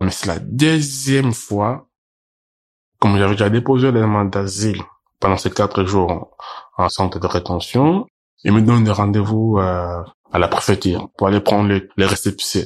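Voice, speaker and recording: Over a quiet background, a man talks at a moderate pace with a fairly low pitch, ordinary pitch variation and long, frequent pauses. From Cameroon. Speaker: migrant witness. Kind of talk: testimony. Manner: halting.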